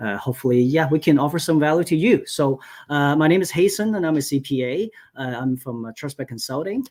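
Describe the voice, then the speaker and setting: A man with a Cantonese accent, fairly high-pitched, very fast, with lively intonation. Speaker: accountant. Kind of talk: webinar presentation. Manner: many filler words, halting.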